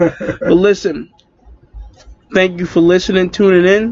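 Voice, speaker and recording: A man with an American accent speaks in a high voice. His pace is very slow. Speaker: podcast co-host. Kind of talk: casual chat. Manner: laid back.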